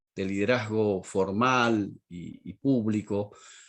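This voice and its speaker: Against a quiet background, a man speaks with an Argentine accent. His pitch is fairly low, with ordinary variation. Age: 60s. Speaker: pastor and teacher. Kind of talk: lecture.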